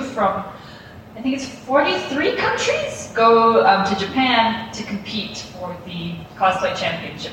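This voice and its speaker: A woman's fairly high voice at a very slow pace, with ordinary pitch variation, audible room echo and noticeable background noise. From South Africa. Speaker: cosplayer. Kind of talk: interview. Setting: convention floor. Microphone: poor recording quality.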